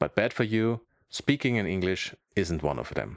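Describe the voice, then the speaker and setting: In a very clean recording with a silent background and a dry, close sound with no echo, a man speaks with a German accent at a moderate pace. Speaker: comedian and YouTuber. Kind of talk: comedic monologue to camera.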